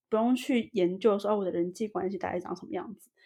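A woman's medium-pitched voice with vocal fry, a dark, mellow tone and ordinary pitch variation. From Taiwan. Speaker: Taiwanese expat in Sweden. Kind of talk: casual interview chat.

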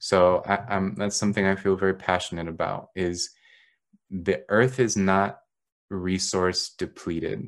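An unremarkable speaking voice against a quiet background. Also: man. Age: 30s. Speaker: psychology professor. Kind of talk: interview conversation.

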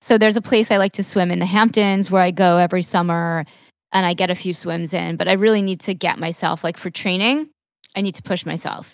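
A woman with an American accent and an unremarkable speaking voice talks at a fairly quick pace, medium in pitch, with fairly even intonation. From New York, Long Island. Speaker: podcast host and marketing entrepreneur, triathlon coach. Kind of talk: casual interview. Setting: video call from her apartment.

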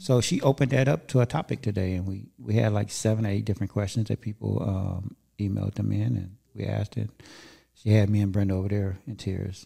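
A man with an American accent speaks at a fairly quick pace in a dark, mellow tone, somewhat breathy, with ordinary pitch variation, on a very clean recording with a silent background. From Southern California. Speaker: podcast host. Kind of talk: casual interview chat. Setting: studio.

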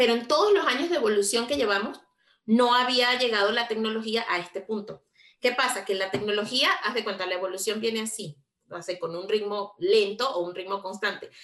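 At a fairly quick pace, a woman with a normal speaking voice and a fairly high pitch talks with ordinary pitch variation. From Venezuela. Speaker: podcast co-host. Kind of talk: casual chat.

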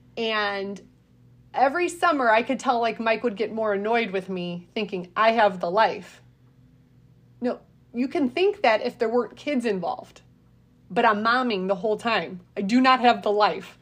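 A woman speaks at a moderate pace with a fairly high pitch and ordinary pitch variation. She has a normal speaking voice. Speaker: podcast host and author. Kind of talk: casual chat.

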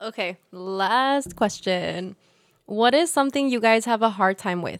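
The voice moves at a moderate pace with ordinary pitch variation, recorded with a dry, close sound and no echo. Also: woman. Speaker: podcast co-host. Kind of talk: casual chat. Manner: animated.

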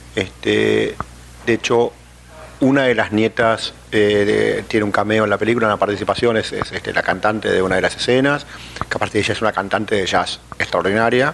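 A man speaks at a moderate pace as noticeable background noise goes on. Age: 50s. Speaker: film producer. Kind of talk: interview. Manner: halting, many fillers.

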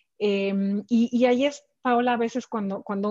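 Talking at a fairly slow pace, a woman has a dark, mellow tone over a quiet background. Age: 40s. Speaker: corporate executive. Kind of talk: interview. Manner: halting, many repeated words and fillers.

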